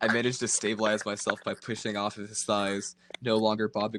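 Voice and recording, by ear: A passage is read out loud in a natural-sounding voice.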